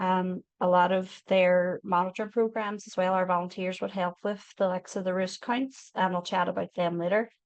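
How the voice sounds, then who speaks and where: In a Northern Irish accent, a woman talks at a moderate pace with hardly any pauses. Her medium-pitched voice is monotone and flat against a quiet background. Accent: Derry. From Northern Ireland, Derry. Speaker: wildlife charity volunteer speaker. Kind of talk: online educational talk. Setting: online video talk. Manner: casual, filler-heavy.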